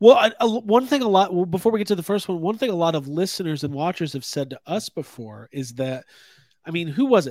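A man talks at a very fast pace with a high pitch. His voice makes very wide pitch swings. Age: 30s. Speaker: toy podcast host. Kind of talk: casual chat. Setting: live stream.

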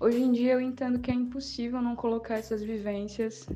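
A woman talks fairly quickly with fairly even intonation and a fairly high pitch. Her tone is dark and mellow, and somewhat breathy. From Paraíba, northeastern Brazil. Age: 20s. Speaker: poet and communication student. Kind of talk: interview.

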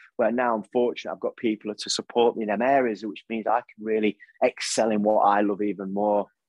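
A man with an East Midlands accent speaks at a fairly low pitch and a fairly quick pace, with hardly any pauses and a monotone, flat intonation. The sound is dry and close with no echo, over a quiet background. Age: 40s. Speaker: motivational speaker and coach. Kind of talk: interview conversation.

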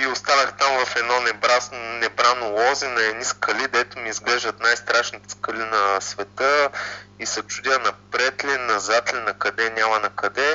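Fairly even in intonation, the speech unfolds fairly slowly. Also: man, medium pitch for a man. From Bulgaria, Ruse. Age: 30s. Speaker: software developer and hiker. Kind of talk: interview. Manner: hesitant, many fillers.

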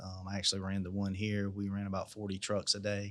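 On a very clean recording with a silent background, a man speaks with a South Carolina accent. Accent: Southern US (South Carolina). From South Carolina, US South. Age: 40s. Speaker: small business owner. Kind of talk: interview.

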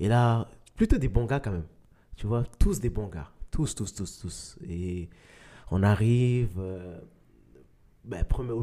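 On a very clean recording with a silent background, a man with a fairly low, dark, mellow voice speaks very slowly, leaving long, frequent pauses, his loudness swinging widely and his pitch varying in an ordinary way. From Mali, then Quebec. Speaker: professional soccer player. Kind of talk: interview.

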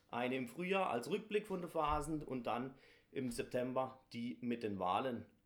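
A man speaks in a normal speaking voice at a fairly slow pace. His intonation is lively. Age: 30s. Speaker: carnival guild leader. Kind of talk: interview.

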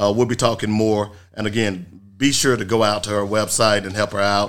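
A man's normal speaking voice, fairly low-pitched, at a moderate pace, in a very clean recording with a silent background. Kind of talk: radio promo voice-over, polished station ad read. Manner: brisk, upbeat, punchy announcer delivery.

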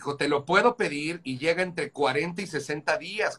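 The speech moves at a fairly slow pace, with a bright, sharp tone and ordinary pitch variation. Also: man. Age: 40s. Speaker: musician. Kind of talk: casual chat.

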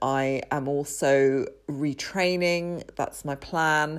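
A woman with a British accent and a very deep, low pitch, in a very clean recording with a silent background. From UK. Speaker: podcast host. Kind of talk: solo podcast monologue, personal and reflective. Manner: conversational, candid.

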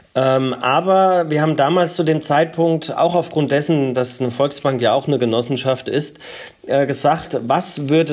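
A man's fairly high-pitched voice, fairly slow and with ordinary pitch variation, over noticeable background noise. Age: 40s. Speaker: energy cooperative founder and CEO. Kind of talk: interview. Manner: frequent filler hesitations.

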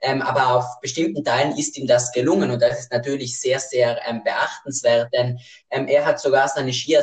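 Fairly even intonation from a man, his voice somewhat breathy. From South Tyrol, Italy. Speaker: podcast co-host. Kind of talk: casual chat. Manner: hesitant, many fillers.

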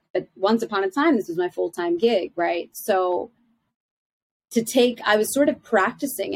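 A woman's plain, everyday voice with an American accent, medium pitch, lively intonation and a fairly slow pace. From Philadelphia, US. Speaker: life coach and teacher. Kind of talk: interview, conversational.

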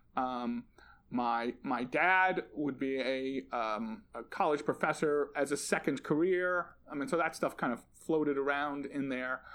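Fairly slow speech with ordinary pitch variation comes through in a very clean recording with a silent background. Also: man, fairly high pitch for a man. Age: 50s. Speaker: math teacher. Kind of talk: casual chat. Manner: halting.

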